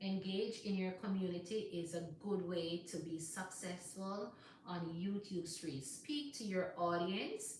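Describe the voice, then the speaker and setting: Amid noticeable background noise and audible room echo, a woman with a Jamaican accent speaks at a fairly low pitch and a fairly slow pace, with ordinary pitch variation. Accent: Jamaican English with patois. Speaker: YouTuber, live stream host. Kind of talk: live stream chat. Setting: live stream. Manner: casual, conversational.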